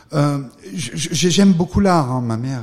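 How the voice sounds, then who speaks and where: The voice is a man's and somewhat breathy. His intonation is lively. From France, Drôme (Valence). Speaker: art gallery owner and former financier. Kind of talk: interview.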